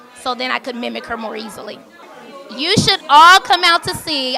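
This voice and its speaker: A woman speaks at a high pitch in a raised, projected voice. Noticeable background noise runs behind her. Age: young. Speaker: stage actress. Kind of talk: interview.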